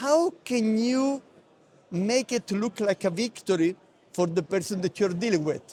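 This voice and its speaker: A man speaks at a fairly slow pace with lively intonation. His loudness stays very even, and the sound is dry and close with no echo. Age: 60s. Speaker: negotiation expert. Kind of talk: interview. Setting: conference. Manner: hesitant, many fillers.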